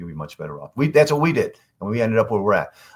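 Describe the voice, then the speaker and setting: A man talks at a very fast pace with very wide pitch swings. Vocal fry shows up in his voice. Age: 60s. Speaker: company CEO. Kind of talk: casual interview.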